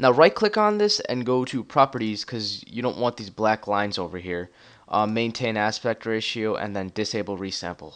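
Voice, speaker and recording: Over a quiet background, a man speaks at medium pitch with ordinary pitch variation. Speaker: YouTube tutorial creator. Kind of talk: tutorial. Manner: fast; hesitant, many fillers.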